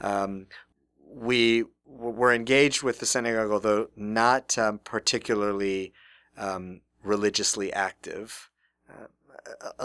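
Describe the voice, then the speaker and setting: On a very clean recording with a silent background and a dry, close sound with no echo, a man speaks very slowly at a fairly low pitch in a bright, sharp tone with fairly even intonation. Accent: American. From Texas (Houston). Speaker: rabbi. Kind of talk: interview conversation. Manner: halting with frequent fillers.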